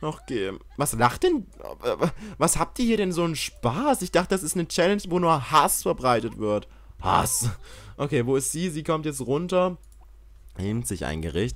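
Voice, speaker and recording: With long, frequent pauses and very wide pitch swings, a man speaks at a fairly high pitch and a moderate pace. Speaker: gaming YouTuber. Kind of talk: let's play commentary. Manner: animated.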